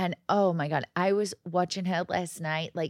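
An animated voice with an American accent, very clean and silent in the background, dry and close with no echo. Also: woman. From outside the US. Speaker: podcast co-host. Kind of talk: casual chat.

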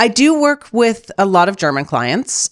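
Very wide pitch swings in a Canadian accent, dry and close with no echo, very clean recording with a silent background. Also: woman. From Canada, Toronto. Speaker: executive and leadership coach. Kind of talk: interview conversation.

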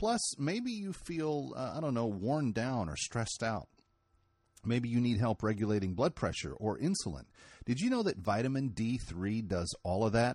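A man has a plain, everyday voice at a medium pitch with lively intonation. He keeps a moderate pace against a quiet background. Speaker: radio talk show host. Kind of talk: political talk radio interview.

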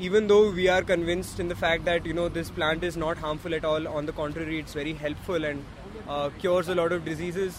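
Over noticeable background noise, a man talks very fast at a high pitch with fairly even intonation. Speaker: activist. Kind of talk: casual chat. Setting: outdoors.

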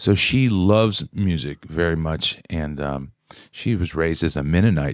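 A man with a very deep, low voice and an American accent speaks at a moderate pace with ordinary pitch variation, in a dry, close recording with no echo and a quiet background. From West Virginia, Wheeling. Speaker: jazz trombonist. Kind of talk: casual interview chat.

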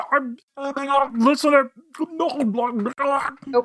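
The pitch here is high. It comes from a put-on character voice. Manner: garbled, muffled speech while chewing.

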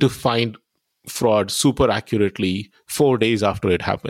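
A man with an Indian accent, lively intonation and a moderate pace, in a dry, close sound with no echo, on a very clean recording over a silent background. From India (Pune, Maharashtra). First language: Tamil. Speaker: AI research executive. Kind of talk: interview.

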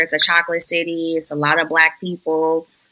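A woman with an American accent and a plain, everyday voice speaks at a moderate pace, her pitch fairly low. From Chicago. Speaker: tech startup founder and influencer. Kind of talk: casual chat.

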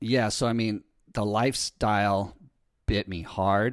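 On a very clean recording with a silent background, a man speaks in a fairly low pitch with fairly even intonation. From Southern California, Newport Beach. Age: 30s. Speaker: podcast host and online surf coach. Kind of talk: casual interview. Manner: casual, laid-back.

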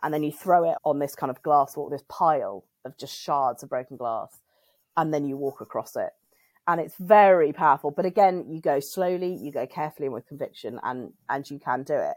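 On a very clean recording with a silent background, a woman with a British accent and a very deep, low pitch speaks at a fairly quick pace with big swings in loudness. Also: ordinary pitch variation, dry, close sound with no echo. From UK. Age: 40s. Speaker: women's circle convener and writer. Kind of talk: casual chat.

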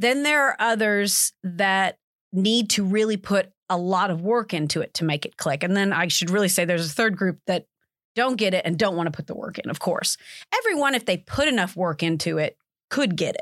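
In an unremarkable speaking voice, a woman with an American accent talks at medium pitch and a fairly quick pace with lively intonation, on a very clean recording with a silent background. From US South, Alabama (Montgomery). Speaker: accounting lecturer. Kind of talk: interview.

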